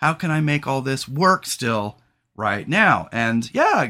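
Loud, bright and sharp in tone, slow, with big pitch swings. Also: man, medium pitch for a man.

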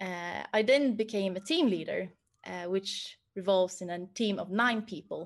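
With a Swedish accent, a woman of medium pitch speaks at a fairly slow pace with ordinary pitch variation against a quiet background. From Sweden, Stockholm. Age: 30s. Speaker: project manager. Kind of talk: career talk. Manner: hesitant, many fillers.

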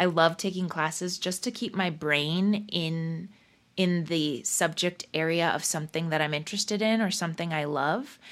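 In a very clean recording with a silent background, a woman with an unremarkable speaking voice and a General American accent talks at a moderate pace, her fairly low voice showing ordinary pitch variation. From Colorado, US. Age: 30s. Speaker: singer-songwriter and comedian. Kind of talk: interview conversation.

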